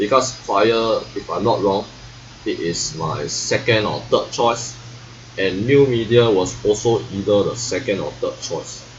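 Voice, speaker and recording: A man speaks fairly slowly over noticeable background noise. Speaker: vlogger. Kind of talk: casual monologue. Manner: halting.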